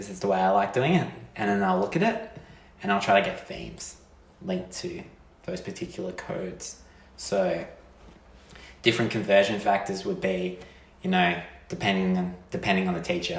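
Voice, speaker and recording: A man with an Australian accent at a moderate pace, with long, frequent pauses, audible room echo and noticeable background noise. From Australia, rural Victoria. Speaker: PhD student. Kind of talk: casual chat.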